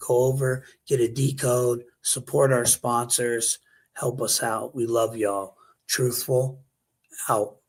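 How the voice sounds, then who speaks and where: Somewhat breathy, a man speaks at a very slow pace with a medium pitch and fairly even intonation. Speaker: conspiracy news show host. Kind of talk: casual talk show.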